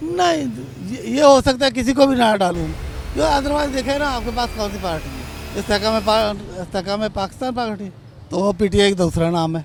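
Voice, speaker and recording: Noticeable background noise sits behind a man with a high pitch. He talks at a moderate pace with lively intonation. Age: 70s. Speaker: voter interviewed on street. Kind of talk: street interview.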